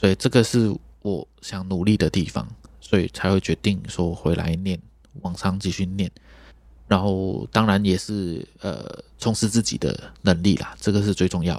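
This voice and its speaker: Pitched very deep and low, a man's voice shows ordinary pitch variation. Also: moderate pace, very clean recording, silent background. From Malaysia. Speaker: trumpeter and music teacher. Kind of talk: interview.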